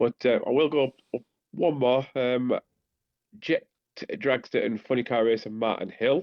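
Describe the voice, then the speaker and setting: Speaking with a Teesside accent, a man of medium pitch keeps a moderate pace with long, frequent pauses, ordinary pitch variation and very even loudness. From northern England, Teesside. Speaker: podcast co-host. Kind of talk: casual chat.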